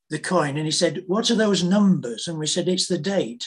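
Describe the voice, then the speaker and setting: A man speaks with a British accent and a high pitch. His pitch varies in an ordinary way. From Britain. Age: 80s+. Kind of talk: testimony.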